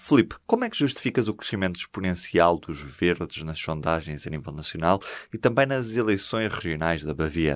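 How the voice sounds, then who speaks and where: At a moderate pace, a man with a very deep, low pitch speaks with lively intonation. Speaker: podcast host. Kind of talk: interview; scripted narration.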